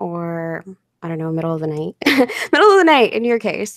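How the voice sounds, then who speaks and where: Her pitch swings very widely as a woman talks at a moderate pace. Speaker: story narrator and live-stream host. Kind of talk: live stream interview host.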